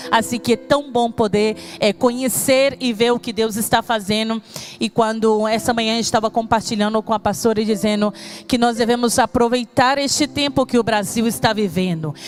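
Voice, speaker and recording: Noticeable background noise sits behind a woman's fairly high voice. She talks at a moderate pace with fairly even intonation. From Brazil, Espírito Santo. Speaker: pastor. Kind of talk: sermon.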